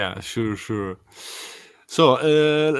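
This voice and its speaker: Speaking at a fairly slow pace with an Italian accent, a man shows ordinary pitch variation. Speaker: podcast host. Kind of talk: interview. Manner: halting.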